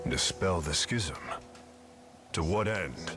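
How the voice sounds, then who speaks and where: The voice is a put-on character voice with a stern tone. Clear music plays in the background. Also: man, very deep, low pitch for a man. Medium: video game. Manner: stern, measured.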